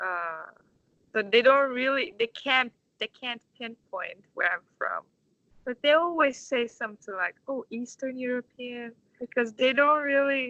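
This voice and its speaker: A woman speaks at a fairly slow pace with a Turkish accent and a high pitch. Her tone is bright and sharp, with ordinary pitch variation, in a dry, close sound with no echo. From Turkey, Istanbul. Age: 20s. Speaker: orchestra conductor. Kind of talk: interview. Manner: halting.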